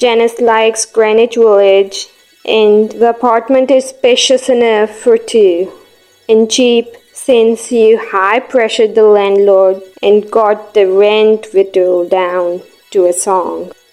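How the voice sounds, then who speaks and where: A woman's fairly high voice at a very slow pace, with very even loudness, fairly even intonation, and music in the background. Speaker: voice actor. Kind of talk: audiobook narration.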